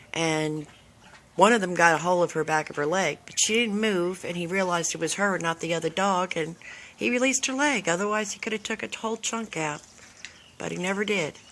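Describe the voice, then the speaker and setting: Here is a woman with an ordinary speaking voice, pitched fairly low. Her intonation is lively. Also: fairly quick pace. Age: 60s. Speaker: dog owner. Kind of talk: casual chat. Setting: outdoors.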